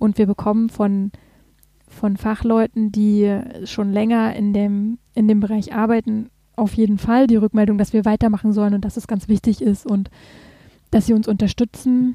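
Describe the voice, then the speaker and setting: Dry and close with no echo, the voice sounds dark, mellow and somewhat breathy, moving at a moderate pace with monotone, flat intonation. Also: woman, fairly high pitch for a woman. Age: 30s. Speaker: patient advocacy group founder. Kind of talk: casual interview.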